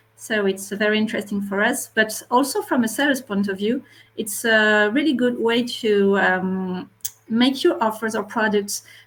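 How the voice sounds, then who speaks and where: With a French accent, a woman of fairly high pitch talks at a moderate pace over noticeable background noise. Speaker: marketplace retail media specialist. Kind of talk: webinar panel discussion. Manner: halting.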